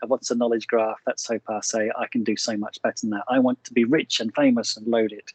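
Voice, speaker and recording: With an Australian accent, a man speaks at a medium pitch and a fairly quick pace, his intonation monotone and flat, with hardly any pauses. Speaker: startup company founder. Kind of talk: lecture. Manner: hesitant, many fillers.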